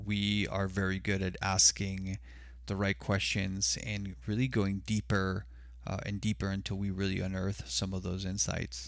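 Very deep and low in pitch, a man speaks with lively intonation at a moderate pace in a very clean recording with a silent background. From Mexico (Sonora), raised in US border region. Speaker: consultant. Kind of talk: casual chat.

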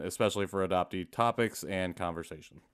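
A man's very deep, low voice with a Midwestern American accent, in a very clean recording with a silent background. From US Midwest, rural Indiana. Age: 30s. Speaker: adoptee activist and podcast host. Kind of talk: interview.

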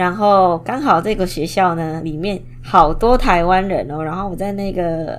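This woman has a Taiwanese accent and a fairly low pitch. Her voice carries audible room echo. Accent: Taiwanese-sounding Mandarin. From Indonesia. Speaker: podcast host, product designer. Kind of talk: casual monologue. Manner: hesitant, with fillers.

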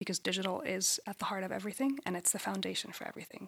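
A woman's medium-pitched voice with a bright, sharp tone and vocal fry, dry and close with no echo. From Egypt. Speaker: management consultant. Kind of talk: interview.

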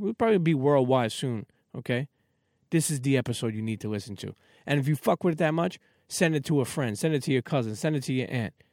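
In a New York accent, a man talks very fast in a fairly high voice. The sound is dry and close with no echo, on a very clean recording with a silent background. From Brooklyn, New York (Coney Island). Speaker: podcast host. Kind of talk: casual interview chat. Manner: repetitive, stammering starts.

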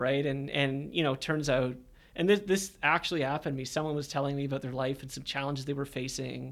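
Recorded very cleanly over a silent background, a man with a Canadian accent and a fairly high pitch talks fairly quickly in a normal speaking voice. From Canada, Hamilton, Ontario. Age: 30s. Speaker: marketing director at a coaching company. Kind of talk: casual interview. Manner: relaxed, many fillers.

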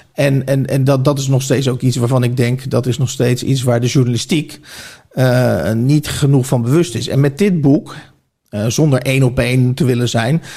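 With a dark, mellow tone, a man speaks at medium pitch and a moderate pace, somewhat breathy and with fairly even intonation. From Netherlands, Oegstgeest (South Holland). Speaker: author and journalist. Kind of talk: casual interview.

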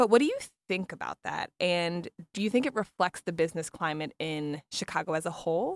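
A woman with an American accent and a plain, everyday voice talks fairly quickly at a fairly low pitch with ordinary pitch variation, in a dry, close sound with no echo on a very clean recording with a silent background. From US East Coast. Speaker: podcast host. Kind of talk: interview conversation.

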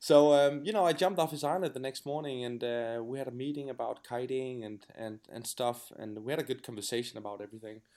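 A very fast man's voice with a Danish accent, dark and mellow, medium in pitch with ordinary variation, with hardly any pauses and big swings in loudness. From Denmark. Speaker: pro kitesurfer. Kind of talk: interview. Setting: remote call. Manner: hesitant, many fillers.

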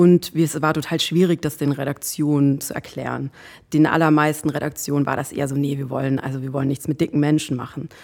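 The woman's pitch is very deep and low. She speaks at a fairly quick pace with monotone, flat intonation. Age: 40s. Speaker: body positivity activist and influencer. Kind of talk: casual chat.

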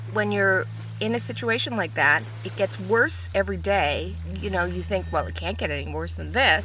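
Over noticeable background noise and audible room echo, a woman with a very deep, low pitch swings very widely up and down. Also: moderate pace. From Canada, British Columbia. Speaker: sailing crew member. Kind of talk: testimony.

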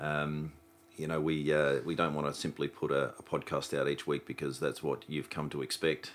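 This man has an Australian accent and a very deep, low pitch. He talks at a moderate pace in a monotone, flat intonation. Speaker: podcast host. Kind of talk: casual interview.

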